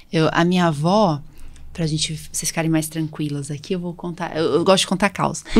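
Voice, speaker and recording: At a fairly quick pace, a woman with a fairly low pitch and fairly even intonation talks in an unremarkable speaking voice. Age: 40s. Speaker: allergist and podcast host. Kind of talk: casual chat.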